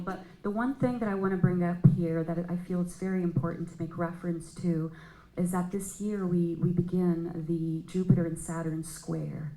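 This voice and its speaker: Somewhat breathy, a woman speaks in a dark, mellow tone with audible room echo. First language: not English. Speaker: astrologer. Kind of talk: panel discussion. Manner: halting.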